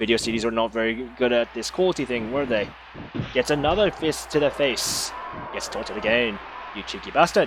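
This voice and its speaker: A man in a playful tone at a fairly quick pace, with noticeable background noise. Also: medium pitch for a man, ordinary pitch variation. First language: not English. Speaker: amateur stream host doing wrestling commentary. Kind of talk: live commentary. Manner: casual, playful play-by-play.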